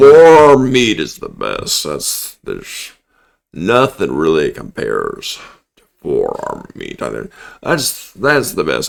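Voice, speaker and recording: A man does a put-on character voice that is raspy and mumbling, at a fairly slow pace. His loudness swings widely. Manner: mumbling, droning on.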